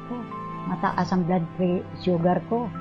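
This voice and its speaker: A woman's speech moves fairly slowly, its pitch varying in an ordinary way while music plays in the background. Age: 80s+. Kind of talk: testimonial interview answer.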